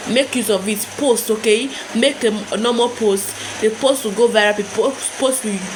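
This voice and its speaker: A woman speaks in an animated tone at a fairly high pitch. Noticeable background noise is present. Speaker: YouTube growth tips creator. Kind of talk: casual tutorial to camera. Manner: fast; animated, repetitive.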